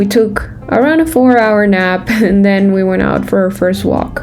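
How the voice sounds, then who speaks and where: Music plays behind a woman. She speaks at a moderate pace. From Venezuela. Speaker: travel vlogger. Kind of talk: travel vlog narration.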